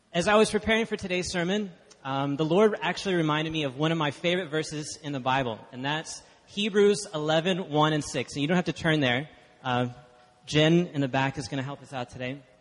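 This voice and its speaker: A man with an American accent talks fairly quickly at a fairly high pitch, using ordinary pitch variation. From Texas (Dallas). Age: 20s. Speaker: guest preacher. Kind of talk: sermon. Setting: church.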